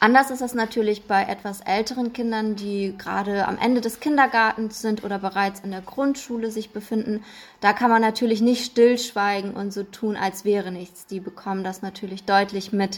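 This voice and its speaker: Using a normal speaking voice, a woman with a fairly high pitch keeps a moderate pace and fairly even intonation, with hardly any pauses. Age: 20s. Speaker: clinical psychologist. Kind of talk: podcast interview.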